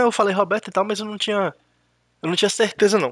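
The recording is dry and close with no echo, capturing a man's high voice. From Brazil. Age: 30s. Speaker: gaming youtuber. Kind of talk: casual gameplay commentary. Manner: hesitant, repeats words.

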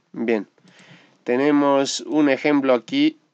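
This man talks at a very slow pace. His pitch sits in the medium range. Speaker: English teacher. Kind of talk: tutorial. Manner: hesitant fillers.

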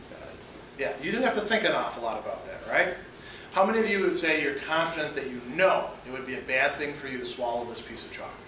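Very wide pitch swings mark this man's very fast speech, recorded with light background noise and audible room echo. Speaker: philosophy professor. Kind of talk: classroom lecture. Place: classroom. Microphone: camera far.

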